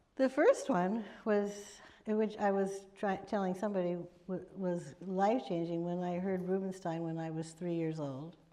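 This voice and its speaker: A woman of medium pitch speaks at a moderate pace with ordinary pitch variation. Her tone is dark and mellow, with audible room echo around it. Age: 70s. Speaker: pianist and piano teacher. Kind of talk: panel talk. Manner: halting.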